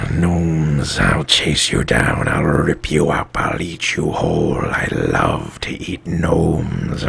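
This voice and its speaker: A man's put-on character voice, very deep and low, at a fairly slow pace over clear background noise. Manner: snarling, menacing.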